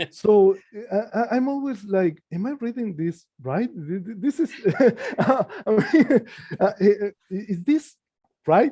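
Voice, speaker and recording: With a non-native accent, a man speaks in a high, dark, mellow voice with lively intonation and long, frequent pauses, the sound dry and close with no echo. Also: fairly slow pace. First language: not English. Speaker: comic book artist. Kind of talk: casual chat. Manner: halting, many repetitions.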